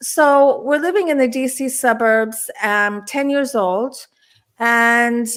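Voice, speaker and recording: Her pitch is high, and this woman speaks at a very slow pace with ordinary pitch variation. The recording is very clean, with a silent background. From Washington DC area, born in Turkey. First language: Turkish. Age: 60s. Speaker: UFO experiencer and author. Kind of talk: interview chat.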